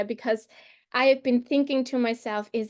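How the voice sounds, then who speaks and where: Her voice high in pitch, a woman speaks with a non-native accent. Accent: noticeable non-native accent in English. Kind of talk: polite, friendly. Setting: video call.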